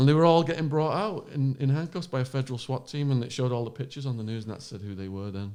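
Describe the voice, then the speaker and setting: Very fast and with hardly any pauses, a man with an English accent speaks at a medium pitch, with lively intonation and big swings in loudness. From northern England, Widnes. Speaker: former drug smuggler, true crime podcaster. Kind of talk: casual chat. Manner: animated.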